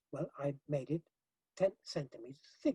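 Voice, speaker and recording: A man speaks with a fairly high, somewhat breathy voice and a dark, mellow tone. The sound is dry and close, with no echo. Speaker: hempcrete building expert. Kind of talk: interview. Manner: halting, many fillers and repetitions; animated.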